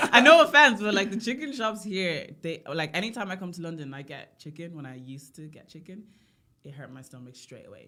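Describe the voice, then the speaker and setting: A woman speaks at a fairly quick pace with an Irish accent, her pitch medium and her tone bright and sharp. Her pitch swings very widely and her loudness rises and falls sharply. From Ireland. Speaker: singer. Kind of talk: casual chat. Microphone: poor audio.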